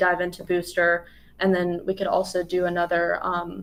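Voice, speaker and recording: At a fairly quick pace, a woman talks at medium pitch. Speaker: sales manager. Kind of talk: live product Q&A webinar. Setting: live video stream. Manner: fast.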